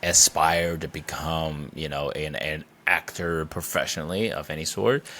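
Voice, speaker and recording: In a very clean recording with a silent background, a man speaks. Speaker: comedian and actor. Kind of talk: interview conversation. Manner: hesitant, many fillers.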